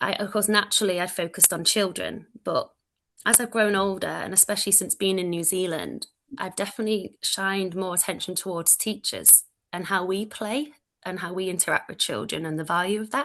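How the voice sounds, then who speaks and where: A woman with a Manchester accent speaks at a fairly quick pace over a quiet background. Her medium-pitched voice has a bright, sharp tone and fairly even intonation. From northern England, Manchester. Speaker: early childhood education lecturer. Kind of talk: presentation. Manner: loud.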